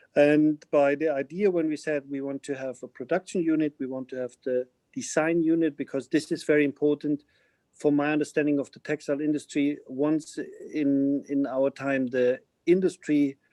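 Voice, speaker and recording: The voice has a dark, mellow tone and a German accent, delivered at a moderate pace in monotone, flat intonation. The sound is dry and close with no echo. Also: man, fairly high pitch for a man. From Germany, Bavaria (Munich). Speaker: fashion company CEO. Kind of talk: webinar interview.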